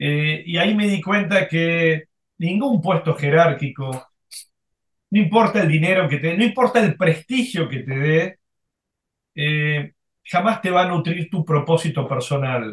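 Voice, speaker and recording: A man with a high pitch speaks at a fairly slow pace. His intonation is lively. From Argentina. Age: 60s. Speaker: former corporate executive, now executive coach. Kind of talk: interview. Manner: halting, many fillers.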